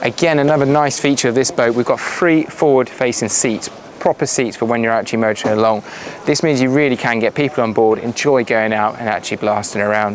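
A man talks at a very fast pace against light background noise. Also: ordinary pitch variation, very even loudness, dry sound with no echo. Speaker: boat sales representative. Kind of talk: on-board walkthrough tour of a boat for sale. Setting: outdoors aboard a boat at a boat show. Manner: brisk, upbeat salesman patter with run-on descriptions. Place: boat.

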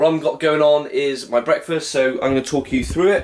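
The man speaks with fairly even intonation. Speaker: fitness vlogger. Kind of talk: casual vlog chat. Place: kitchen. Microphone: phone near.

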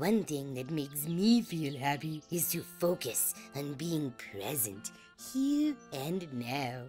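With clear music in the background, a put-on character voice at a low-to-middle pitch speaks at a fairly slow pace in an upbeat, gentle tone.

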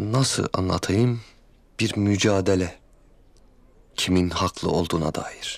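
A man uses a put-on character voice with vocal fry, low pitch, ordinary pitch variation and a slow pace.

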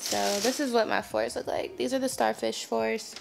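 A woman talks at an even, middling speed while clear background noise runs beneath her. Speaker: vlogger. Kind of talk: casual vlog chat. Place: home room. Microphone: phone near.

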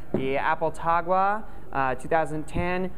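Pitch moves with ordinary variation, and light background noise sits behind the voice. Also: man. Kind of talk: product presentation to camera. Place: shop.

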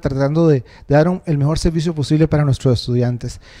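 A man speaks at a fairly quick pace in a dark, mellow tone with a fairly high pitch. His pitch varies in an ordinary way against a quiet background. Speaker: university tutor, council candidate. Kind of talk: campaign presentation. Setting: stage with audience. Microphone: handheld.

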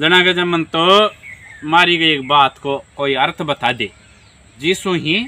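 A man speaks at a fairly slow pace. His loudness swings widely. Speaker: village storyteller. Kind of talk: folk tale narration. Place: open country. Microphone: phone near.

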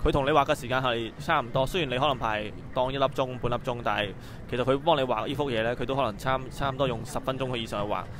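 A man with a Hong Kong accent at a very fast pace, fairly even intonation, dry echo-free sound and noticeable background noise. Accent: Hong Kong Cantonese accent in English. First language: Cantonese. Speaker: toy channel host and interviewer. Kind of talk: casual on-site interview. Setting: toy convention floor. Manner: hesitant, halting in English. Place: hall.

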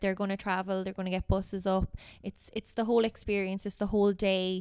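A woman in a western Irish accent, fairly quick in pace, with monotone, flat intonation. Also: quiet background. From Ireland, Galway; Ireland. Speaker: Gaelic football player and teacher; teacher. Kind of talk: casual interview. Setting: hotel. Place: meeting room. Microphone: handheld.

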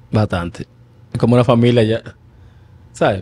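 A man speaks at a fairly quick pace. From Dominican Republic. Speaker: retired baseball player; guest. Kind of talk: casual interview. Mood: relaxed, smiling storytelling. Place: studio. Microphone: studio mic.

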